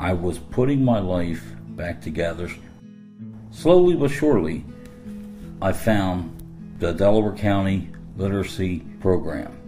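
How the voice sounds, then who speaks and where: With music in the background, a man with a very deep, low pitch speaks at a fairly slow pace, making very wide pitch swings and long, frequent pauses. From Philadelphia, Pennsylvania. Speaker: adult learner. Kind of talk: personal digital story narration.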